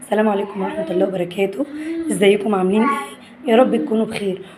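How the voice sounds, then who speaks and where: A woman speaks with an Egyptian accent. Her pace is fairly quick. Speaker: family vlogger. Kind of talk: casual vlog chat. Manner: animated.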